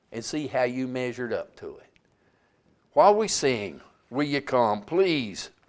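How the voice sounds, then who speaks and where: A man speaks in a Southern US accent at a fairly slow pace. His medium-pitched voice carries lively intonation. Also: long, frequent pauses, big swings in loudness. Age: 70s. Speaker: preacher. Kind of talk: sermon. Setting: church.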